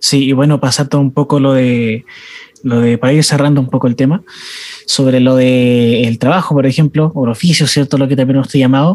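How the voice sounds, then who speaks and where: Speaking in a Chilean accent, a man keeps a fairly quick pace at medium pitch with fairly even intonation. The sound is dry and close, with no echo. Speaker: youth ministry podcast host. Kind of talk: casual chat.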